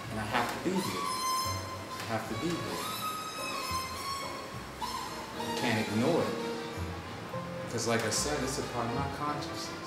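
Loud music plays in the background and room echo is audible. A man speaks at a fairly slow pace with long, frequent pauses. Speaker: nonprofit co-founder. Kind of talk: improvised spoken-word poetry. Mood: reflective, gently smiling. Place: office. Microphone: camera far.

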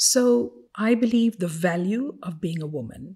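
Ordinary pitch variation runs through a dark, mellow tone that is somewhat breathy. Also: woman. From Fiji. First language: not English. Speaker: ambassador and former judge. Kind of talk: interview. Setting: studio in a library.

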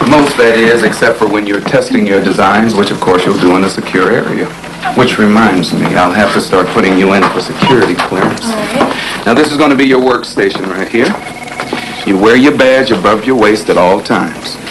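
Noticeable background noise sits behind a man with a fairly low pitch. He talks at a fairly quick pace with ordinary pitch variation. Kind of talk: scripted film dialogue. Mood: friendly, upbeat. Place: office.

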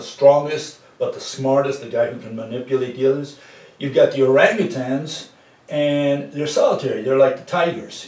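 A man talks at a moderate pace with fairly even intonation. Room echo is audible. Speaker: presenter. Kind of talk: lecture-style conversation. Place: home room. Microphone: camera far.

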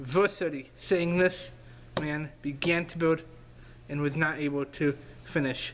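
Fairly high-pitched, a man speaks at a very slow pace with fairly even intonation. Long, frequent pauses break up his speech over light background noise. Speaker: preacher. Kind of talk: sermon. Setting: online video. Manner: earnest, fervent preaching. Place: home room. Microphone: webcam.

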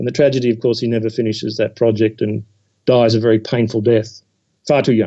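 Very fast and flat, a man talks in a monotone. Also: medium pitch for a man. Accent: Australian. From Australia, Sydney suburbs. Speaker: historian. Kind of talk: interview. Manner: hesitant, many fillers.

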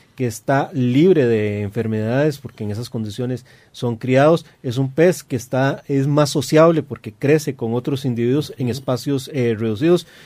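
A man with a Costa Rican accent, a dark, mellow tone, medium pitch, ordinary pitch variation and a moderate pace, against a quiet background. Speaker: aquarium hobbyist co-host. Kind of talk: radio talk show discussion. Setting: radio studio. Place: studio.

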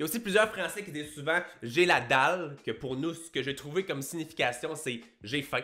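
Bright and sharp in tone, a man with a Quebec accent speaks at a fairly high pitch with lively intonation. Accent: Québécois. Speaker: YouTuber and fitness coach; fitness youtuber. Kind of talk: casual vlog monologue. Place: home room. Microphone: studio mic.

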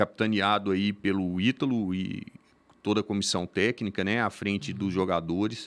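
Speaking at a fairly slow pace, a man has a fairly low pitch. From Minas Gerais, Brazil. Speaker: volleyball club manager. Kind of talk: casual interview. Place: studio. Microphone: studio mic.

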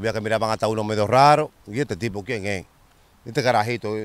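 A man's plain, everyday voice at medium pitch, fairly quick in pace, with a dry sound and no echo. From Dominican Republic, Santo Domingo (Capotillo / Simón Bolívar); Dominican Republic. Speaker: former street figure telling stories; interviewee. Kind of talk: storytelling interview. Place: open country. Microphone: handheld.

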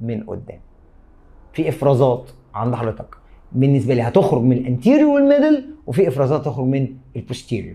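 Speaking at a fairly quick pace with long, frequent pauses, a man uses a medium pitch and ordinary pitch variation. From Egypt. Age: 30s. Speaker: biology teacher. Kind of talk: lecture. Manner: animated. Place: studio.

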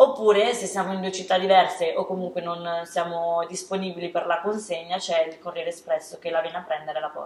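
With a Lombard accent, a woman of fairly low pitch talks at a fairly quick pace with hardly any pauses, big swings in loudness and fairly even intonation, amid audible room echo. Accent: northern Italian (Lombard). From northern Italy. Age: 20s. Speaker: startup co-founder. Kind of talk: interview. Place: studio.

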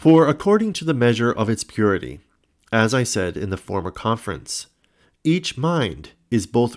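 This man has an unremarkable speaking voice at medium pitch, talking at a moderate pace on a very clean recording with a silent background. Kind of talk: audiobook reading of a historical religious text, scripted narration. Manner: formal, measured, even-paced reading.

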